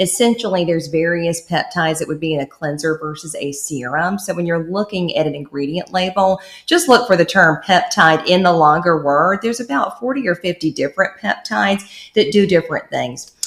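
She has an ordinary speaking voice, fairly low in pitch with ordinary variation. The woman keeps a moderate pace with hardly any pauses. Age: 30s. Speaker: esthetician and skincare entrepreneur. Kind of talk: casual chat.

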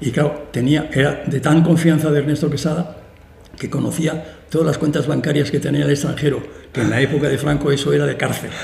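With audible room echo around him, a man talks at a fairly quick pace. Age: old. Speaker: classical music concert promoter. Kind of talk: interview conversation. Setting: auditorium with live audience.

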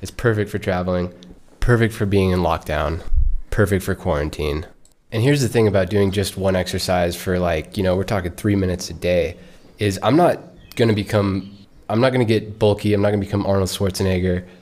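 At a fairly quick pace, a man talks in an ordinary speaking voice with a fairly low pitch and fairly even intonation. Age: 20s. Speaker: podcast host, ex-Marine traveler. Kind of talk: solo podcast monologue. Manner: casual, conversational.

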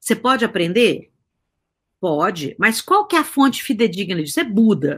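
On a very clean recording with a silent background, a woman with a fairly high, somewhat breathy voice speaks at a moderate pace and very even loudness, with very wide pitch swings. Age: 50s. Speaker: guest on age and society talk show. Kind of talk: casual interview conversation.

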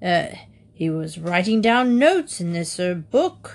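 A woman uses a put-on character voice, fairly low in pitch, speaking slowly with big pitch swings.

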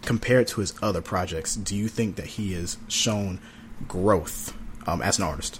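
This man's voice sits fairly low and comes out somewhat breathy, with an American accent. His intonation stays fairly even at a moderate pace. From North Carolina. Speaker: podcast co-host, music reviewer. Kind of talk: casual chat.

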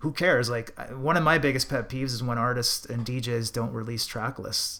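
At a moderate pace, a man with a Canadian accent talks in a medium pitch with a bright, sharp tone on a very clean recording with a silent background. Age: 40s. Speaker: DJ. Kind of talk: casual chat.

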